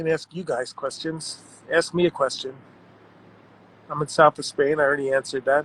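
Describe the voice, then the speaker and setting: In a Long Island accent, a man speaks with monotone, flat intonation and long, frequent pauses, recorded dry and close with no echo. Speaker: art world writer and personality. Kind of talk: live-stream chat reading viewer comments. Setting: Instagram live stream, guest dropped out. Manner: casual, self-deprecating.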